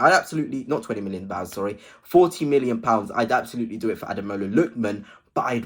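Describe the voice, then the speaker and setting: A man with an English accent at a very fast pace, medium-pitched, lively intonation, very clean recording with a silent background. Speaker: football fan vlogger. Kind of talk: casual video commentary. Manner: hesitant at times.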